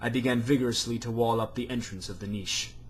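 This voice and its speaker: A man's somewhat breathy voice at medium pitch, moving at a fairly quick pace. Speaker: amateur reader. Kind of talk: reading aloud. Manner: stammering.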